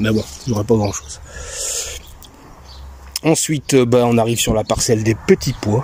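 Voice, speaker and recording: A man speaks in a relaxed tone at a medium pitch and moderate pace. His pitch varies in an ordinary way, and there is noticeable background noise. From Belgium. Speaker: home vegetable gardener. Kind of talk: casual garden tour to camera. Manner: relaxed, hesitant, chatty.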